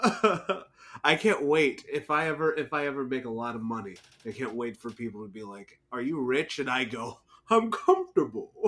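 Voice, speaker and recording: A man with an American accent talks at a moderate pace in a fairly high pitch. His tone is bright and sharp, with lively intonation. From US South. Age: young. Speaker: podcast co-host. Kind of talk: casual chat.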